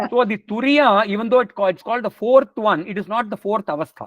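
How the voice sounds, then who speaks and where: A man with a Tamil accent talks at a fairly quick pace and high pitch with ordinary pitch variation. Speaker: spiritual teacher. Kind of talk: lecture Q&A.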